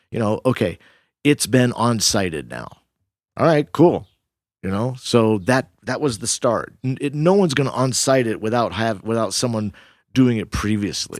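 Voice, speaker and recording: The recording is very clean with a silent background, carrying a plain, everyday voice at a moderate pace with ordinary pitch variation. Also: man, medium pitch for a man. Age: 60s. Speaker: veteran rock climber. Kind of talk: podcast interview. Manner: relaxed, conversational.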